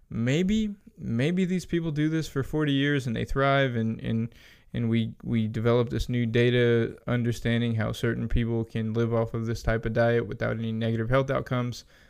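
A man with an ordinary speaking voice talks at a moderate pace and medium pitch with ordinary pitch variation over a quiet background. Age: 30s. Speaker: nutrition professional. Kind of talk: casual interview. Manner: laughs often while talking.

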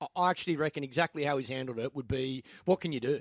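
A very fast-talking man with an Australian accent, ordinary pitch variation, and a dry, close sound with no echo. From Sydney, Australia. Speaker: radio sports host. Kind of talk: casual radio banter.

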